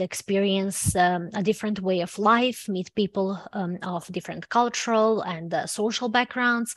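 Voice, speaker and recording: Against a dry, close sound with no echo, a woman speaks in a Serbian accent at medium pitch. Her intonation is fairly even and her pace moderate. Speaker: university student representative. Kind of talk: online presentation. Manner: halting, many fillers.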